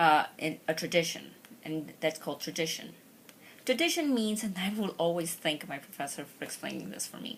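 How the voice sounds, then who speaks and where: The speaker, in a Spanish accent, has big swings in loudness. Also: woman, fairly low pitch for a woman, lively intonation, moderate pace. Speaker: law student YouTuber. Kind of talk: tutorial. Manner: halting.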